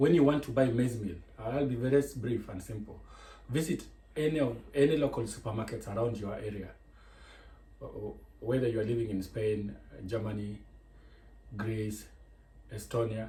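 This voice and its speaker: With audible room echo, a man speaks at a moderate pace and a medium pitch in a dark, mellow, somewhat breathy tone, with ordinary pitch variation and long, frequent pauses. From Kenya. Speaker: cooking vlogger. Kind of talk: cooking tutorial. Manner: halting.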